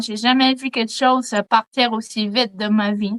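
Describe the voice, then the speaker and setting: In a dry, close sound with no echo, a woman uses a raised, projected voice with a bright, sharp tone. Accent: Quebec. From Quebec. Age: 20s. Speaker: eyewitness. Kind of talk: testimony. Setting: video call.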